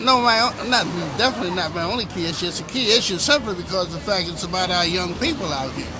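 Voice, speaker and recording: Over crowd noise and audible room echo, a raised, projected voice with an American accent races along at a very fast pace with lively intonation. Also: man, high pitch for a man. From Washington DC, Ward 7. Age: 60s. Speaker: local resident. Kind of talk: street interview.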